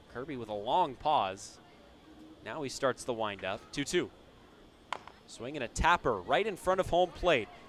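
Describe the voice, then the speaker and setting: There is crowd noise in the background as a man speaks at a fairly high pitch. His pitch swings very widely. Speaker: baseball radio play-by-play announcer. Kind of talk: live baseball play-by-play radio broadcast.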